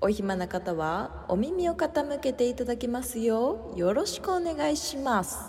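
A fairly slow, high-pitched woman's voice with very wide pitch swings and hardly any pauses. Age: 20s. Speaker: podcast co-host. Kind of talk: casual chat.

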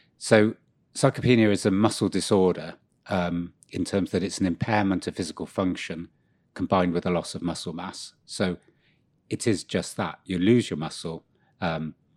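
Very deep and low in pitch, a man talks with fairly even intonation. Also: very clean recording, silent background. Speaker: podcast co-host. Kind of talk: casual chat.

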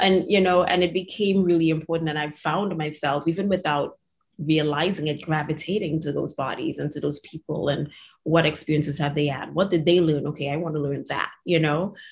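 Speaking at a fairly quick pace, a woman with a very deep, low pitch sounds somewhat breathy, her intonation fairly even. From Trinidad. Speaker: podcast host, physical therapist. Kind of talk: interview; scripted outro.

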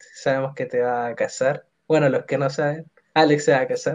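A man with a Chilean accent talks at a fairly slow pace in a fairly high pitch. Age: 20s. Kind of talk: casual chat.

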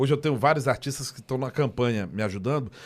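Swinging very widely in pitch, a man speaks at a fairly quick pace in a very clean recording with a silent background. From Brazil, Ceilândia (Federal District). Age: 40s. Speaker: rapper. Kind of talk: casual chat. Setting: studio.

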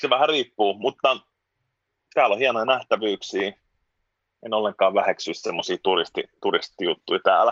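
Pausing long and often, a man speaks at a moderate pace in a dry, close recording with no echo. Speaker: musician and former journalist. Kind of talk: casual interview chat. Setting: video call from home (children's room).

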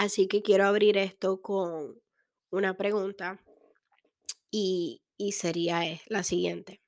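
Speaking at a very slow pace, a woman uses monotone, flat intonation with long, frequent pauses. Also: medium pitch for a woman. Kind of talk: inspirational testimony monologue.

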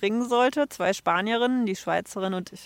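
An ordinary speaking voice from a woman, fairly quick and with ordinary pitch variation, in a very clean recording with a silent background. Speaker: traveler, interview guest. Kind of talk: interview. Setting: outdoors on a bench.

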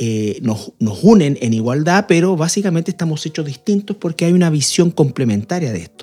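Dark and mellow in tone, this man's fairly high voice moves at a moderate pace with lively intonation and a somewhat breathy quality. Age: 50s. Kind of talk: radio panel discussion on faith and marriage.

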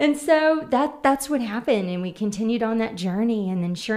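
Fairly high in pitch, a woman talks with an American accent. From Oklahoma City. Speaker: nonprofit communications and marketing lead. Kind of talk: casual interview.

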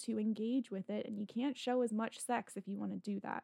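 A woman's fairly high voice with fairly even intonation, an unremarkable speaking voice. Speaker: magazine editor, podcast host. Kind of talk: casual interview chat.

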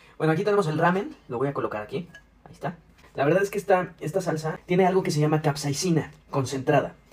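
Over noticeable background noise, a man talks at a very fast pace with big swings in loudness. His pitch is fairly high, with ordinary variation. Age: young. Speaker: podcast co-host. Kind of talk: food challenge demonstration. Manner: animated.

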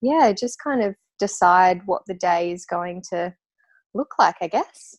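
With an Australian accent, a woman speaks at a fairly slow pace in a dry, close sound with no echo. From Tasmania, Australia. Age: 30s. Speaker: natural perfume maker and business owner. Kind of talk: interview.

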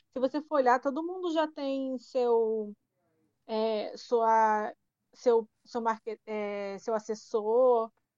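The speaker has a Paraíba accent and ordinary pitch variation. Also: woman. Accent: Paraíba (northeastern Brazilian). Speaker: podcast co-host. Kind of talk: casual chat.

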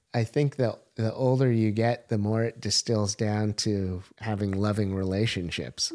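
A man with an American accent talks fairly slowly and almost without pauses, his fairly low voice dark and mellow at a very even loudness, in a dry, close recording with no echo that is very clean against a silent background. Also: fairly even intonation. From US Pacific Northwest, Portland. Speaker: entrepreneur. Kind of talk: casual chat.

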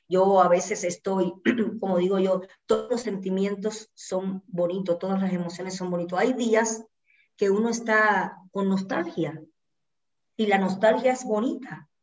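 A woman with a plain, everyday voice, medium pitch, fairly even intonation and a fairly slow pace. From Cuba, Santa Clara. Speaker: dancer and choreographer. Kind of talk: casual interview.

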